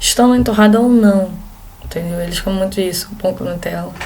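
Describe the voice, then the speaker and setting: A woman with a strong Rio de Janeiro accent speaks at medium pitch with fairly even intonation. Audible room echo and noticeable background noise are present. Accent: strong carioca. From Brazil, Rio de Janeiro. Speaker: exchange student vlogger. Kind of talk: casual vlog talk.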